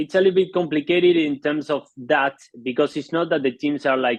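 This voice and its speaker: Speaking with an Argentine accent, a man keeps a moderate pace and fairly even intonation. The sound is dry and close, with no echo. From Argentina. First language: Spanish. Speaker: polo play-by-play announcer. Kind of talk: interview. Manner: halting.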